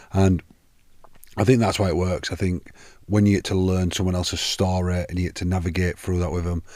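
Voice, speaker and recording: With a northern English accent, a man with a very deep, low pitch and a dark, mellow tone talks at a fairly quick pace in a monotone, flat intonation on a very clean recording with a silent background. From northern England. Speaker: podcast host. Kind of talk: casual podcast interview.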